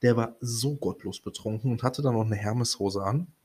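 At a moderate pace, a man with a medium pitch and ordinary pitch variation speaks in a somewhat breathy voice. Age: 20s. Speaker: podcast host. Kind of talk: casual monologue. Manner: hesitant, many fillers.

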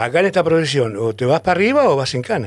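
Speaking at a very fast pace with lively intonation, a man is heard in a very clean recording with a silent background. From Argentina, San Miguel de Tucumán. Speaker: former bank robber. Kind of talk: interview testimony. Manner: halting, frequent repetitions.

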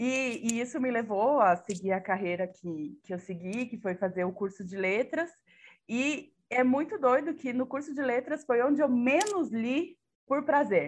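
Her high-pitched voice swings very widely in pitch at a fairly slow pace. The woman is heard against a quiet background. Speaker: podcast co-host, Portuguese teacher. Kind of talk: casual chat.

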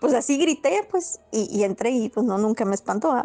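Moderately paced female speech amid noticeable background noise. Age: 30s. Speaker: storyteller sharing paranormal experiences. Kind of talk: personal storytelling. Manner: halting.

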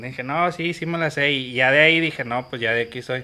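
At a moderate pace and with typical pitch movement, a plain, everyday voice talks. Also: man. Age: 30s. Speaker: football fan, barra member. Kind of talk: casual chat.

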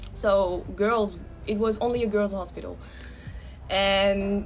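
Music playing behind a woman's fairly slow speech. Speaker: podcast host. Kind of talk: casual conversation about personal experiences.

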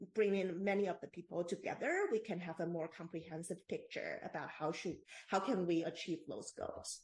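With a Taiwanese accent, a woman speaks at a moderate pace in a somewhat breathy voice of medium pitch and fairly even intonation. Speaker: postdoctoral researcher in ethics. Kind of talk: interview. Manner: halting.

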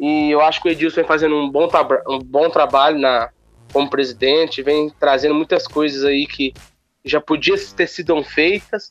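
In an ordinary speaking voice, a man talks at a moderate pace with a fairly high pitch, fairly even intonation and very even loudness. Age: young. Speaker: city councillor. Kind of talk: interview. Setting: phone call.

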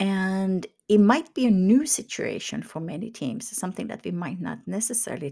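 A woman's somewhat breathy voice at medium pitch, lively in intonation and moderate in pace, in a very clean recording with a silent background. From Finland. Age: 50s. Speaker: leadership coach. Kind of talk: solo monologue podcast.

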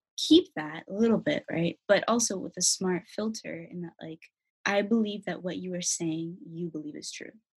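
A woman's somewhat breathy voice at a moderate pace, lively intonation, and a dry, close sound with no echo. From US Pacific Northwest, Federal Way near Seattle. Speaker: college student. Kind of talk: casual interview. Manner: animated.

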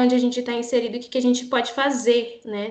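A woman with a high pitch speaks at a moderate pace over noticeable background noise. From Brazil, São Paulo (Parelheiros). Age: 20s. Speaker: actress and cultural producer. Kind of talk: casual chat. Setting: remote recording.

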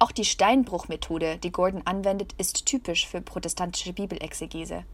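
This woman has a medium pitch and some vocal fry, heard on a very clean recording with a silent background. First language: German. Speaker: podcast host and trainee journalist. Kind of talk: scripted narration.

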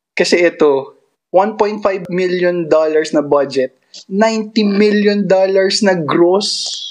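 A man speaks at a very slow pace with very even loudness. His high pitch shows ordinary variation. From Philippines. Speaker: podcast co-host. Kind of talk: casual chat.

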